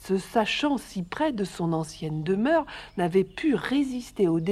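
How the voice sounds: The voice is a natural reading voice. Nothing about it sounds forced.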